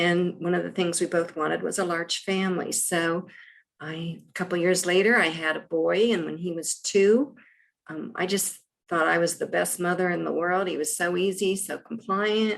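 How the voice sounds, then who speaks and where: A woman with an unremarkable speaking voice and an American accent, fairly low in pitch, with fairly even intonation, a moderate pace and big swings in loudness. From US Midwest, Columbus, Ohio. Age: 60s. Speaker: actress. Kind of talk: casual chat.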